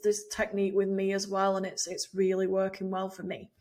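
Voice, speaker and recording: The speaker is a woman. She talks in an English accent. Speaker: email marketing coach, former teacher. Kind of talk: video tutorial. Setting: video recording. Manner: laid back, soft-spoken; casual, chatty.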